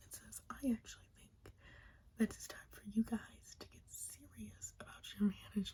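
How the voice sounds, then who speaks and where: A soft-spoken woman's whisper. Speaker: ASMR creator. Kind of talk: ASMR wrestling recap and ramble. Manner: whispering, soft-spoken.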